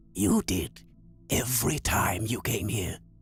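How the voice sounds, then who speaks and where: A man puts on a raspy character voice at a fairly low pitch, speaking fairly slowly with ordinary pitch variation. Faint music plays in the background. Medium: video game. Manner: erratic, riddling.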